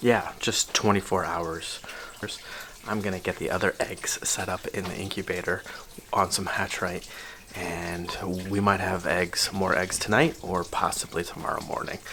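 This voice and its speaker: A man with a very deep, low pitch speaks quietly at a moderate pace with fairly even intonation. Noticeable background noise is present. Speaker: tortoise keeper and video creator. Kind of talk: casual video diary tutorial.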